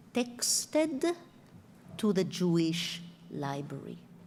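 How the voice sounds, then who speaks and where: Somewhat breathy, a woman with an Israeli accent speaks in a dark, mellow tone with audible room echo. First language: Hebrew. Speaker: author and professor. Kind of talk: lecture.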